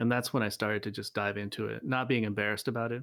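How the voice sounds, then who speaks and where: Very fast talk comes from a man with a fairly low pitch and an American accent. The recording is very clean, with a silent background. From Virginia, US. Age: 40s. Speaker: musician. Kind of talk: casual interview. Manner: halting, many fillers.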